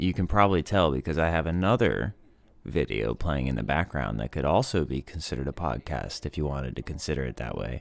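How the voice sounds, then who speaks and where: A man speaks with a very deep, low pitch and vocal fry. His pace is moderate and his intonation lively. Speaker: podcast host. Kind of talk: casual monologue.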